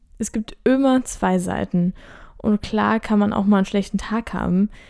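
A woman talks in a calm tone with fairly even intonation. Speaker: midwife and podcast host. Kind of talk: solo podcast monologue.

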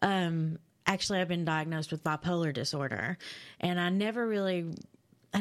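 Recorded very cleanly against a silent background, a woman with a Kentucky accent talks at a moderate pace in a fairly low voice with ordinary pitch variation. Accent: Kentucky Southern American. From London, Kentucky (rural eastern Kentucky). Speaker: recovering addict and second-chance advocate. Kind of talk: interview testimony.

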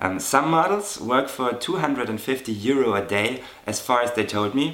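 Amid noticeable background noise, a man with a medium pitch speaks at a fairly slow pace with a German accent and ordinary pitch variation. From Germany. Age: 30s. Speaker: model. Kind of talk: interview.

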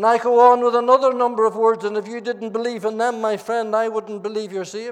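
Talking at a very fast pace with hardly any pauses, a man with a Northern Irish accent speaks at a high pitch. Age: 70s. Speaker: pastor. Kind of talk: sermon. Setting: church. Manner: animated.

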